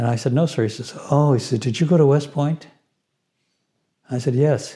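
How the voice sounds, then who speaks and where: This voice has an American accent, a somewhat breathy, dark, mellow tone, a moderate pace and fairly even intonation. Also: man, fairly high pitch for a man. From US Southwest, New Mexico and Los Angeles. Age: 80s+. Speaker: retired physician. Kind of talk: interview storytelling.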